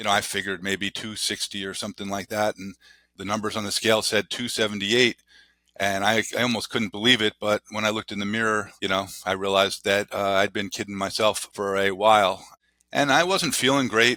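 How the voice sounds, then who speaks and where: A man talks at a fairly quick pace with a fairly low pitch and a bright, sharp tone. The intonation is fairly even, and the sound is dry and close with no echo in a very clean recording with a silent background. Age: 60s. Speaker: guest sharing weight loss journey. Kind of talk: interview. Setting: podcast. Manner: halting, many fillers.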